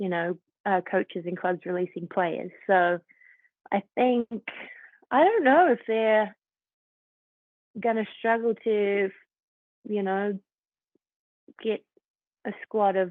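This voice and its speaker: Speaking very slowly with long, frequent pauses, a woman talks at a medium pitch in a New Zealand accent. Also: ordinary pitch variation. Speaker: professional footballer. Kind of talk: casual interview.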